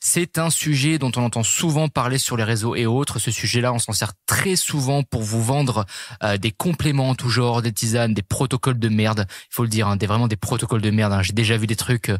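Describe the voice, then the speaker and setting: A man talks at a fairly quick pace in a medium pitch with ordinary pitch variation, the sound dry and close with no echo in a very clean recording against a silent background. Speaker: fitness and nutrition coach, podcast host. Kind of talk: podcast monologue. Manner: fast; hesitant, many fillers.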